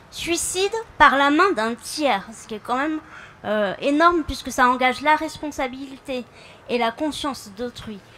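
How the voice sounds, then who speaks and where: Over noticeable background noise, a woman uses a raised, projected voice at a high pitch, moving at a very slow pace with lively intonation. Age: 30s. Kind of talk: public speech. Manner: halting, with fillers.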